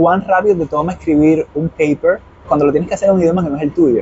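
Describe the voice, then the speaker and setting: A man talks at a fairly quick pace. Noticeable noise sits in the background. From Cuba, Santiago de Cuba. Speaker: nonprofit worker. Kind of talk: interview. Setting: outdoors. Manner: fast.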